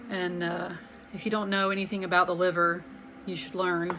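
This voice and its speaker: Fairly quick, fairly evenly intoned speech in an American accent, with noticeable background noise and audible room echo. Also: woman. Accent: slight Southern US accent, evened out. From US South, Atlanta, Georgia (Alpharetta). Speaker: health vlogger. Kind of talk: casual talk to camera. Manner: conversational, with many fillers.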